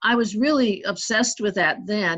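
A woman with an American accent speaks in an ordinary speaking voice at a moderate pace. Her intonation is lively, and the background is quiet. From US Midwest and Northeast. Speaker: sculptor and painter. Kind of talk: casual interview.

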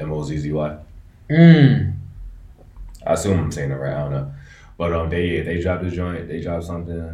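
A man with a very deep, low pitch talks at a fairly quick pace, yet stops often for long pauses. Noticeable background noise runs underneath. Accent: American. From DMV (Washington DC area). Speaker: podcast host. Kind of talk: casual chat.

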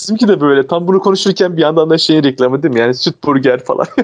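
A man rushes through his words at a very fast pace, with ordinary pitch variation and noticeable background noise behind him. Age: 20s. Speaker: podcast co-host. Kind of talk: casual chat.

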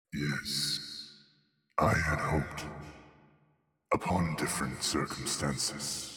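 A man uses a put-on character voice, very deep and low in pitch, resonant and raspy. He speaks at a very slow pace with long, frequent pauses. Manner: resonant, grave.

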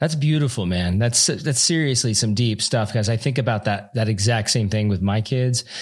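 At a moderate pace with hardly any pauses, a man speaks somewhat breathily at medium pitch, with ordinary pitch variation and very even loudness, on a very clean recording with a silent background. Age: 40s. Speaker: podcast host. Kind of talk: casual interview chat.

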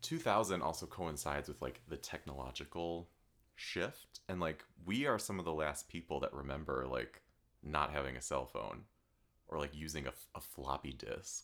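A man's voice with vocal fry. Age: 20s. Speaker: podcast host and arts teacher. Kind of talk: casual chat. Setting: studio, filmed in person. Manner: fast.

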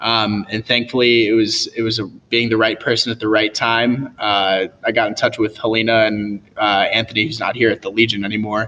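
The voice has an American accent and a bright, sharp tone with monotone, flat intonation. It moves at a moderate pace with hardly any pauses. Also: man, medium pitch for a man. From US Midwest (Indiana). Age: 20s. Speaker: videographer and video editor. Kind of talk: casual interview.

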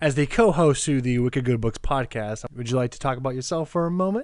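Against a quiet background, a man in a normal speaking voice talks at a fairly quick pace and medium pitch, with ordinary pitch variation and hardly any pauses. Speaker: podcast host. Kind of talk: casual podcast chat.

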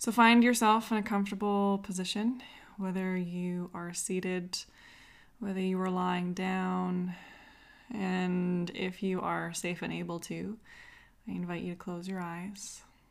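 A woman speaks in a calm, soothing tone at a fairly slow pace. Her intonation is monotone and flat. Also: medium pitch for a woman. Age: 30s. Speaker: podcast host and yoga teacher. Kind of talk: guided breathwork and seated yoga movement instruction. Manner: slow, calm, soothing pacing with cues timed to breaths.

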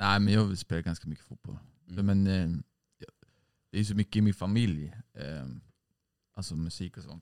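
Recorded with a dry, close sound and no echo, a man speaks at a very deep, low pitch with ordinary pitch variation and long, frequent pauses. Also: moderate pace. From Sweden, Stockholm (Hägersten). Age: 20s. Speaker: musician in a band. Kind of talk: casual chat.

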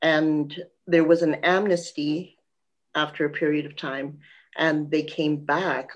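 A woman with a Canadian accent, very deep and low in pitch, at a fairly slow pace against a quiet background. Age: 60s. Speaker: author and lawyer. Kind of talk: interview.

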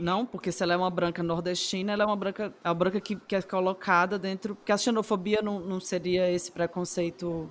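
In a Cearense accent, a woman talks at a fairly quick pace with hardly any pauses, a medium pitch and monotone, flat intonation. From Ceará, Brazil. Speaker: podcast co-host. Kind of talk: casual chat.

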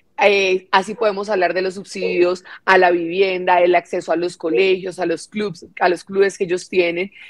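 Here a woman speaks at a medium pitch and a moderate pace. Her intonation is flat and monotone. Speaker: congresswoman. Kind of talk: parliamentary speech.

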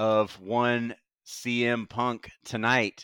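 A man's bright, sharp tone sits at a medium pitch. The recording is very clean with a silent background, dry and close with no echo. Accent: American. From US Gulf Coast. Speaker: wrestling podcast moderator. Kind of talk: casual chat. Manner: animated.

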